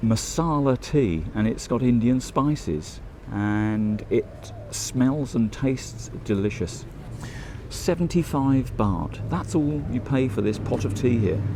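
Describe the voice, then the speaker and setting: With a British accent and lively intonation, a man talks very slowly in a medium pitch over noticeable background noise. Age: 60s. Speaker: travel vlogger. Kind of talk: casual vlog commentary. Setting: tea shop.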